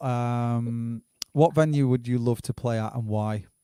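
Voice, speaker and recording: A man with a northern English accent, medium pitch, dark, mellow tone, fairly slow pace, fairly even intonation, dry, close sound with no echo. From northern England. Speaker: livestream host. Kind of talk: casual interview.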